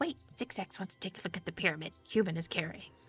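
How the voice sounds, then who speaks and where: A female-sounding voice at a middle pitch rattles along at a very fast pace in a put-on character voice. Music plays in the background. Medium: game stream. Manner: third-person speech, odd verbal tics.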